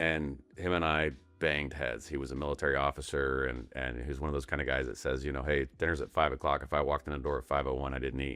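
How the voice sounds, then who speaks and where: A man with an American accent talks at a very fast pace with hardly any pauses. His very deep, low voice carries vocal fry and a monotone, flat intonation. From Colorado, US. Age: 50s. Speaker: tech company founder and CEO. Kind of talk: podcast interview. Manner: halting, many repeated words.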